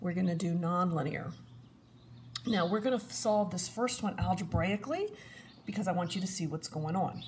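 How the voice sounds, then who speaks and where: Medium in pitch, the woman has an unremarkable speaking voice with lively intonation. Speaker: math teacher. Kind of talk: tutorial.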